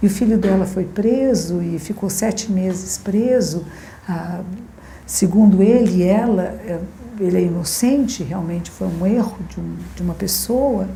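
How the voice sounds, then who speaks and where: A woman speaks at a fairly slow pace. Her voice has audible room echo and noticeable background noise. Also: medium pitch for a woman, ordinary pitch variation. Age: 60s. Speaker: Zen Buddhist teacher. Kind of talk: dharma talk.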